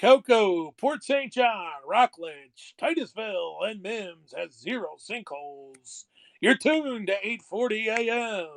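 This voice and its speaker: In a put-on character voice, a man speaks at a high pitch and a fairly slow pace, with lively intonation and hardly any pauses. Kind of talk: broadcast announcer delivery.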